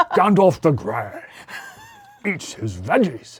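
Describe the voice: This is a put-on character voice with a middle pitch. It moves at a fairly slow pace.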